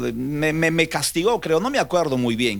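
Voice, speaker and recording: A man with lively intonation keeps a moderate pace, recorded very cleanly against a silent background. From Peruvian Amazon, Lamas, San Martín. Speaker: pastor. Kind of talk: podcast interview, personal testimony. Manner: halting, with repeated words.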